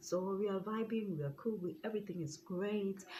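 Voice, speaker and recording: Her voice is somewhat breathy. The woman's pitch varies in an ordinary way. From South Africa. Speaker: YouTuber. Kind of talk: storytime vlog. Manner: casual.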